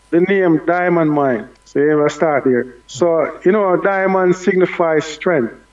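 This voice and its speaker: A man with a Jamaican accent and a high pitch speaks at a fairly slow pace with hardly any pauses and very even loudness. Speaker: dancehall artist. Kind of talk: radio interview.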